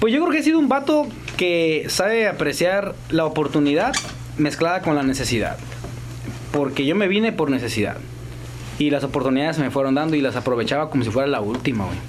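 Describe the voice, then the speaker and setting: With a Mexican accent, a man speaks in a fairly high pitch and lively intonation. There is noticeable background noise and audible room echo. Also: fairly quick pace. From Mexico, Guanajuato. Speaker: actor and comedian. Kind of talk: casual chat.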